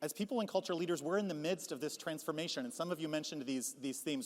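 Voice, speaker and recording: Here a man with a fairly high pitch speaks with lively intonation. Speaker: HR consultant and conference speaker. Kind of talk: conference keynote talk. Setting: stage with audience. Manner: fast.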